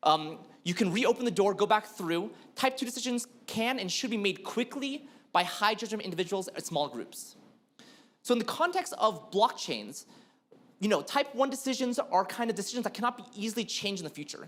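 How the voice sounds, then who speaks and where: A man speaks at a high pitch with lively intonation. His pace is fairly quick. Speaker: blockchain developer speaker. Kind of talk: conference talk. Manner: fast.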